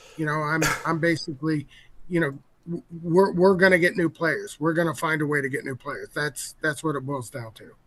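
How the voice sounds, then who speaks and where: A man speaks at a fairly quick pace with a fairly high pitch and fairly even intonation. His loudness swings widely, and there is noticeable background noise. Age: 60s. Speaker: game company executive. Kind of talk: casual interview. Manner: halting.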